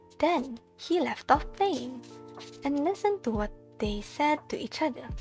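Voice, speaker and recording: Music plays in the background. The speaker goes at a fairly slow pace with very wide pitch swings. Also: woman, high pitch for a woman. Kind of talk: fairy tale narration, whispered bedtime reading. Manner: whispered, soft.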